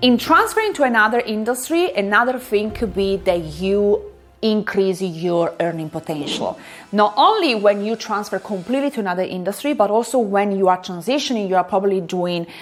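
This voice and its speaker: With music in the background, a woman talks at a moderate pace, medium pitch and ordinary pitch variation. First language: not English. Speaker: career coach and academic. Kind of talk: tutorial.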